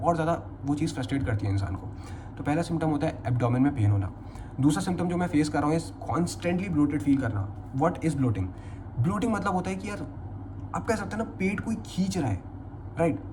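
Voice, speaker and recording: A fairly high-pitched male voice with very wide pitch swings and audible room echo. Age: 20s. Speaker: vlogger. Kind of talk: personal testimony vlog, unscripted. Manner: casual, conversational with fillers.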